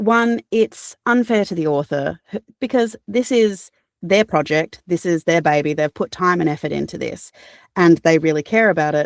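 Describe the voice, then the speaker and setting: In an Australian accent, a woman speaks with a dry, close sound and no echo. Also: fairly low pitch for a woman, lively intonation, moderate pace. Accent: cultivated Australian. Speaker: audiobook narrator. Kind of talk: interview answer. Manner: casual, conversational.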